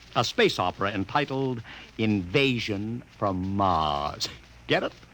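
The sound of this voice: A man's put-on character voice, fairly low and fairly bright, slow in pace, with lively intonation.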